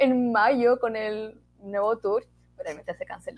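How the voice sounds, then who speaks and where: In a Chilean accent, a woman speaks at a high pitch. Her pace is moderate. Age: 20s. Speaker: theatre student and podcaster. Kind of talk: casual chat.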